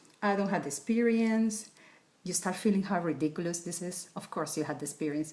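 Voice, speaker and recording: A woman speaks in a Spanish accent. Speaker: wellness coach. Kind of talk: tutorial.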